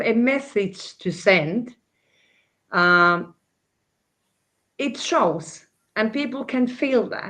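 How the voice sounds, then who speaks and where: A woman with a non-native accent speaks very slowly in a high pitch, her intonation lively. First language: not English. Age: 60s. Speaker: crypto panelist. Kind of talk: panel discussion. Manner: halting, many fillers and repetitions.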